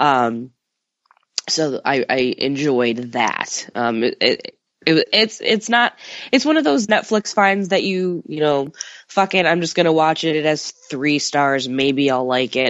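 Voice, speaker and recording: A woman's very deep, low voice with an American accent, lively intonation and a fairly slow pace. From US Midwest, Chicago area. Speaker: horror film writer. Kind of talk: casual chat.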